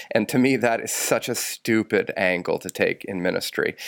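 A man speaks at a fairly slow pace in a dry, close sound with no echo, on a very clean recording with a silent background. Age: 40s. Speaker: priest and podcast co-host. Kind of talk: casual chat.

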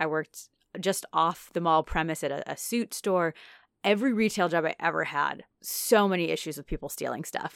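A woman with a normal speaking voice, fairly low in pitch and with ordinary pitch variation, is captured in a dry, close sound with no echo on a very clean recording with a silent background. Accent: American. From Naperville, Illinois. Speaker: podcast co-host. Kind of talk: casual chat.

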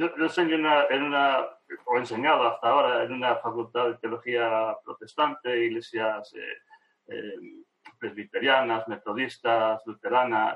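In an unremarkable speaking voice, a man at a medium pitch speaks at a fairly slow pace with fairly even intonation. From Argentina. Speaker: theology professor. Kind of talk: interview conversation.

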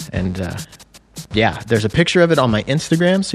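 A very fast-talking man with an American accent and lively intonation, music in the background. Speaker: podcast host. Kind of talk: casual interview chat. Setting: studio, in person.

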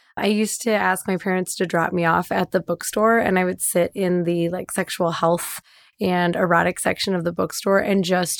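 A woman speaks at medium pitch and a moderate pace, with hardly any pauses and monotone, flat intonation. The recording is very clean, with a silent background and a dry, close sound with no echo. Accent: Midwestern American. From US Midwest, Detroit suburbs. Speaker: sex and relationship coach. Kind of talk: casual chat; guided meditation.

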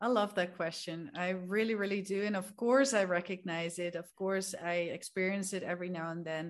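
A woman with a Dutch accent talks at a moderate pace with hardly any pauses and fairly even intonation against a quiet background. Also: medium pitch for a woman. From Netherlands. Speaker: language coach. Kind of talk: casual interview.

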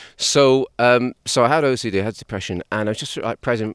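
The recording is very clean, with a silent background and a dry, close sound with no echo. A man speaks with an English accent. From England. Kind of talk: interview conversation.

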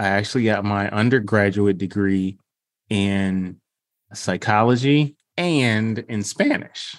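Very slowly, a man speaks at fairly low pitch with ordinary pitch variation. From Detroit, Michigan. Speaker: speech pathologist and consultant. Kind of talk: podcast interview.

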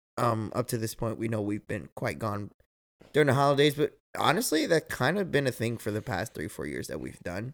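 A man with vocal fry talks at a fairly quick pace in a medium pitch, his pitch swinging very widely, on a very clean recording with a silent background. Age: 30s. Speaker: podcast host. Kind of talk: casual chat. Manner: loud.

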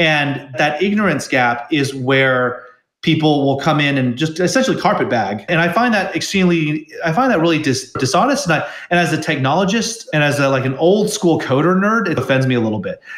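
An ordinary speaking voice at a fairly quick pace, with lively intonation. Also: man, fairly high pitch for a man. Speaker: tech company CEO. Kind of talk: casual interview conversation.

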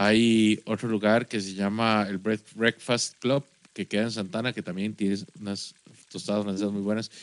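In a Costa Rican accent, a man talks at a moderate pace with a fairly low pitch and monotone, flat intonation, the sound dry and close with no echo. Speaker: podcast co-host. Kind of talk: casual chat. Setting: studio.

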